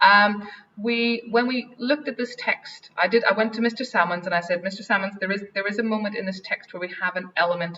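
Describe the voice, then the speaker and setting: Talking at a very fast pace, a woman uses a medium pitch with ordinary pitch variation. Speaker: head of English department, teacher. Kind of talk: Q&A answer; webinar presentation. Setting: online webinar.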